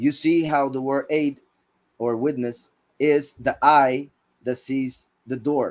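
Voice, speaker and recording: A man with a fairly high pitch, very slow delivery with long, frequent pauses, on a very clean recording with a silent background. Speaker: bible teacher. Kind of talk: scripture teaching.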